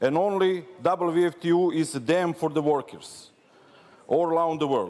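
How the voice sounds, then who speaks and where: Fairly slow and fairly even in intonation, a man speaks at a high pitch. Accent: Serbian. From Serbia. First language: Serbian. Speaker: trade union delegate. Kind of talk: congress speech. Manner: non-native, simple phrasing.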